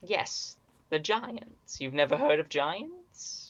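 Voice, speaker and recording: A put-on character voice at a middle pitch, with a very slow pace. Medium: actual play. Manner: dry, formal.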